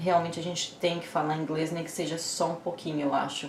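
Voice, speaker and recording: A woman talks with a strong Brazilian accent. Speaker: YouTuber. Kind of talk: casual vlog advice.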